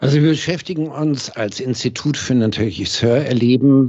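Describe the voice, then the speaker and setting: A man at medium pitch and moderate pace, with ordinary pitch variation. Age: 60s. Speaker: hearing acoustics company founder, former master optician. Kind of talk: casual interview. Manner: frequent hesitation fillers.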